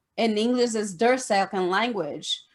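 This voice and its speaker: A woman speaks at a moderate pace with fairly high pitch and ordinary variation. The recording is very clean, with a silent background. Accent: Brazilian Portuguese. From Brazil. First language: Portuguese. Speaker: esthetician. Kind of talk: interview. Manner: halting.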